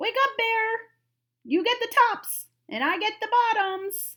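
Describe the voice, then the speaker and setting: At a fairly slow pace, a woman does a put-on character voice that is squeaky and extremely high in pitch. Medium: read story. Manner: upbeat, persuasive.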